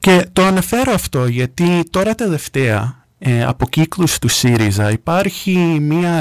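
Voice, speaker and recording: A man with an American accent at a fairly slow pace, with very wide pitch swings, a dry, close sound with no echo, and a very clean recording with a silent background. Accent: American accent in Greek. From US, New York. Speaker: radio contributor. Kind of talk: radio discussion.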